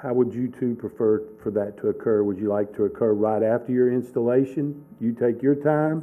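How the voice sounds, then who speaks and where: Over music in the background, a man speaks at a moderate pace with fairly even intonation. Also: medium pitch for a man. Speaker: school superintendent. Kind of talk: board meeting discussion. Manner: halting.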